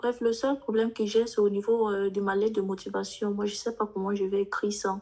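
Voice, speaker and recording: With a dark, mellow tone, a woman talks at a moderate pace in a monotone, flat intonation. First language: English (speaking French). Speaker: international student, participant. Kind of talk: question to speaker. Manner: halting.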